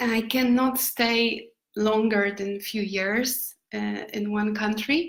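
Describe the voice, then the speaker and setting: A woman speaks at a very slow pace with fairly even intonation. Her pitch is fairly high. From Poland. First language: Polish. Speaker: nomad lifestyle vlogger. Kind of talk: live stream talk. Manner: halting.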